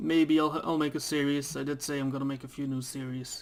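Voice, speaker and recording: Speaking with a Dutch accent, the voice keeps a moderate pace and fairly even intonation. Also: man. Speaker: gaming YouTuber. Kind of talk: let's play commentary. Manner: reads on-screen text aloud; casual, hesitant.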